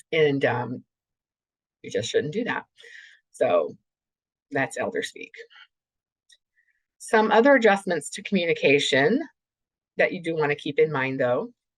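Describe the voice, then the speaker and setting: A woman talks at a fairly slow pace, her loudness swinging widely, with long, frequent pauses. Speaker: clinical neuropsychologist presenter. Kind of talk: webinar lecture. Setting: remote webinar. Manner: deliberately slowed, with brief pauses.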